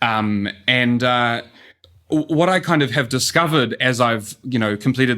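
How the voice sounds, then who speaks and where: With a New Zealand accent, a man talks at a medium pitch and moderate pace in a bright, sharp tone with ordinary pitch variation. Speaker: urban economist. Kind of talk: podcast interview. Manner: frequent fillers (um, uh).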